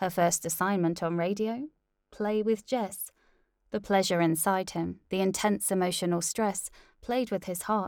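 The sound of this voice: Against a quiet background, the voice reads in an unforced way.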